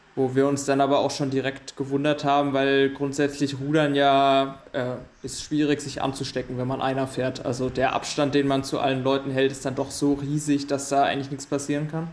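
With hardly any pauses, a man speaks at a moderate pace in a fairly high pitch and a monotone, flat intonation. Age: 20s. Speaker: rower and maths student. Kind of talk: casual interview.

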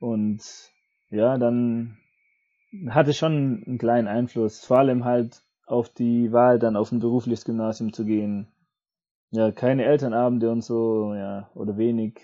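A man speaks at medium pitch in a flat monotone. His pace is fairly slow, with long, frequent pauses. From Swabia, southern Germany. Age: 30s. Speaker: teacher. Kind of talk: casual chat. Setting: remote call from home.

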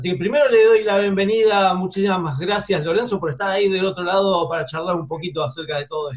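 A man with an Argentine accent talks at a very fast pace with hardly any pauses. His pitch is high, with ordinary variation. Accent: Argentine Spanish (voseo). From Argentina. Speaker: film radio show host. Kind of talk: interview. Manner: casual, some hesitations.

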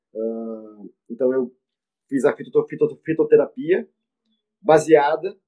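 Speaking at a very slow pace, a man leaves long, frequent pauses. His intonation is lively, and his loudness swings widely. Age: 40s. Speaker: veterinarian and professor. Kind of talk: interview. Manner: halting, many repetitions.

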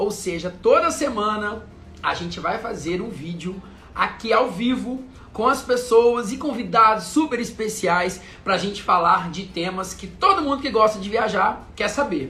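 In a room with audible echo, a man with a high pitch uses a raised, projected voice, an animated tone and lively intonation at a fairly slow pace. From Brazil, interior of Minas Gerais. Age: 30s. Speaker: travel content creator. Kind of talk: live stream chat. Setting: live video stream.

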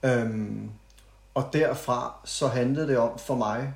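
Somewhat breathy and at a medium pitch, a man speaks at a very slow pace with fairly even intonation. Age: 30s. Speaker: podcast guest, friend of host. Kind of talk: casual chat. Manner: halting, many fillers.

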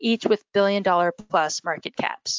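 Speaking fairly quickly, a woman keeps her intonation fairly even. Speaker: reporter and panel moderator. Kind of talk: moderated panel webinar. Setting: phone call. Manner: hesitant, many filler words.

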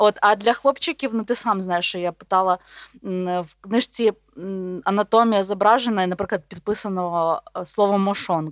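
A woman's medium-pitched, ordinary speaking voice at a moderate pace with ordinary pitch variation, in a dry, close sound with no echo and a very clean recording with a silent background. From Volhynia, western Ukraine. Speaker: podcast co-host, biologist. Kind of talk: casual chat.

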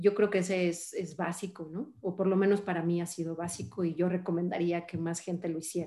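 Speaking with a Mexican accent, a woman uses a fairly low pitch and a dark, mellow tone, with fairly even intonation at a fairly slow pace. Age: 40s. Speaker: finance executive. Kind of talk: interview.

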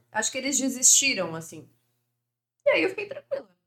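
Woman's bright, sharp tone at a fairly quick pace. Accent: Florianópolis. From Brazil, Florianópolis. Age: 20s. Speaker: financial influencer and former model. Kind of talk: casual podcast interview.

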